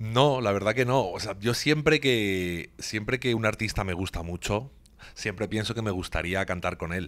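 Fairly slow, fairly low-pitched speech from a man, its pitch varying in an ordinary way. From Spain. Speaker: singer-songwriter; guest. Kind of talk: interview; interview answer. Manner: halting, many repetitions. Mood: warm, reflective. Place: office. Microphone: handheld.

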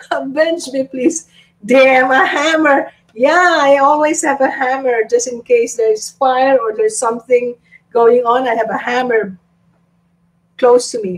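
With an animated tone, a woman talks at a fairly slow pace in a high pitch with ordinary pitch variation. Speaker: YouTube live streamer. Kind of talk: live stream chat reading viewer comments. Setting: live stream at home. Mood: amused, laughing. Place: home room. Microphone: webcam.

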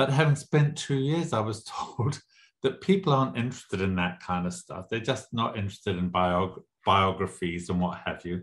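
Against a quiet background, a somewhat breathy man with fairly low pitch uses lively intonation. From Southern Africa (Zimbabwe). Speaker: author. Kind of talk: interview.

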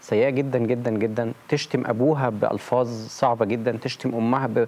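The man's speech moves along at a moderate pace. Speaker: talk show guest. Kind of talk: interview answer. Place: studio. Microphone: lapel.

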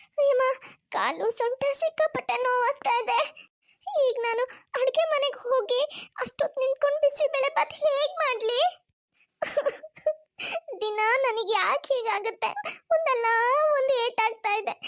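A woman puts on a whiny character voice with an extremely high pitch, speaking at a fairly slow pace. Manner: fake crying, whining.

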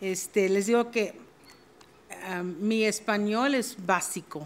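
A woman's very slow delivery with fairly even intonation. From Texas. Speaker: judge; judge giving a forum talk. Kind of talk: formal speech via interpreter. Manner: halting. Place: hall. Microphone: podium.

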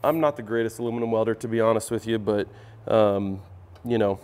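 With soft music faintly behind him, the man talks rather quickly. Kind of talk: tutorial. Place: workshop.

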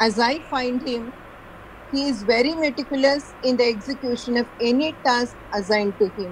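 There is light background noise as a woman speaks in a high pitch. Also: ordinary pitch variation, moderate pace. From India. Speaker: college lecturer, event moderator. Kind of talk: formal introduction. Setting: video call. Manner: formal. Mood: polite, respectful. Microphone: video call.

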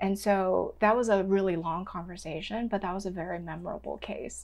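The voice carries vocal fry. Its intonation stays fairly even. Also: woman. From Hong Kong. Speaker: registered dietitian; podcast guest. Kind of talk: interview. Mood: calm, thoughtful. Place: home room.

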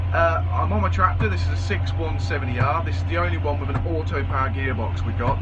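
A man talks over loud background noise. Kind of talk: casual tutorial vlog. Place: farm machine. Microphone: phone near.

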